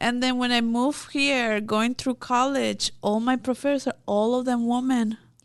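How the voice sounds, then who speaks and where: A woman speaks at a moderate pace with a high pitch and flat, monotone intonation. Her loudness stays very even, and she hardly pauses at all. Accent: Mexican. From Mexico. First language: Spanish. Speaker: immigration consultant. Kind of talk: interview.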